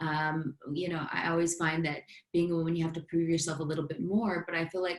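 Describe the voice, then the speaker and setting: Noticeable background noise beneath a fairly quick pace of talking. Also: woman. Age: 30s. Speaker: business coach and fitness influencer. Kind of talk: casual chat.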